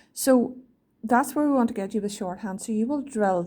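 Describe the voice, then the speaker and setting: Somewhat breathy, a woman's voice has a fairly high pitch, a dark, mellow tone and ordinary pitch variation. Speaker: shorthand teacher. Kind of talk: lesson to students. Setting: recorded video lesson.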